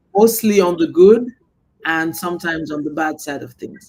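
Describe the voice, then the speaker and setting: Music plays behind a woman speaking at a fairly slow pace with fairly low pitch and ordinary pitch variation. Her loudness swings widely. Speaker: podcast host. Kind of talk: interview conversation.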